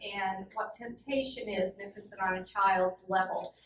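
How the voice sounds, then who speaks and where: There is noticeable background noise behind the speaker. A woman talks at a fairly slow pace. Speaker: children's book author. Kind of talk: panel discussion.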